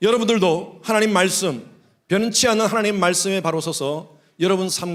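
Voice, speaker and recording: A man's voice with audible room echo. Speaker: pastor. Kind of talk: sermon. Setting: church.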